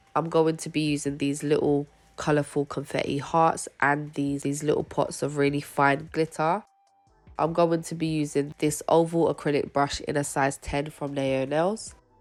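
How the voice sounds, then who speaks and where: Music plays in the background as a woman speaks at a moderate pace. Her very deep, low voice holds a monotone, flat intonation. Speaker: nail artist. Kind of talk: tutorial narration.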